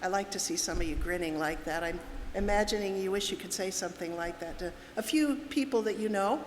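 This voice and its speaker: A woman's voice rises and falls in very wide pitch swings. Audible room echo and noticeable background noise fill the recording. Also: medium pitch for a woman, fairly quick pace. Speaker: seminar speaker. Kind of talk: lecture. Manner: direct.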